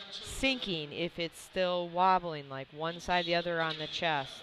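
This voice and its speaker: A woman with a Wisconsin accent, fairly low in pitch, at a fairly slow pace with ordinary pitch variation. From US Midwest, Wisconsin. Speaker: powerlifting referee and live commentator. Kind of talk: live commentary. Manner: casual, conversational.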